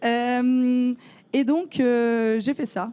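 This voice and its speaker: This woman has a fairly high pitch and a dark, mellow tone. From northern France, Lille. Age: 20s. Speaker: photographer. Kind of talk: conference talk. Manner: hesitant, many fillers.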